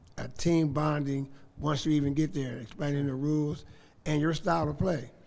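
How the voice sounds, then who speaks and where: Audible room echo surrounds a man who speaks in a flat, monotone way at a moderate pace and a fairly high pitch. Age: 60s. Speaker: high school basketball coach. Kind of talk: panel discussion.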